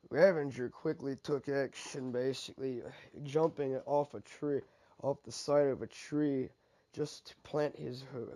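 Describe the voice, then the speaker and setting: A man at a fairly slow pace, his tone dark and mellow. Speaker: fan fiction narrator. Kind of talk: reading aloud own fan fiction story. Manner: halting, stumbles over words.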